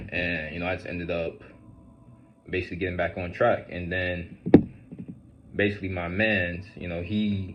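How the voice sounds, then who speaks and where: A man's voice sits very deep and low, in a flat monotone. Audible room echo colors the sound. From Central New Jersey, US. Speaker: fitness vlogger and business owner. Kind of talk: casual storytime monologue. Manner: casual, filler-heavy.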